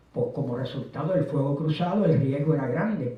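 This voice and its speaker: With audible room echo and noticeable background noise, a man with a fairly high pitch talks at a moderate pace. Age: 70s. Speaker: retired teacher, history lecturer. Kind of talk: lecture.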